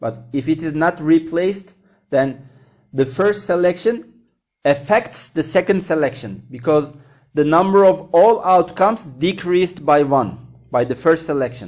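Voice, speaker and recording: A man with an ordinary speaking voice talks at a fairly slow pace in a fairly high pitch with lively intonation. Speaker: math teacher. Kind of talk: lecture.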